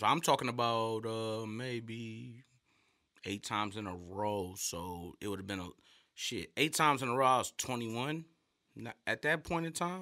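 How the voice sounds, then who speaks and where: A man speaks with big swings in loudness over a quiet background. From US. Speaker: sports commentator. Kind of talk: sports commentary rant, profane, comedic. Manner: loud, animated, ranting. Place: studio. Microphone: studio mic.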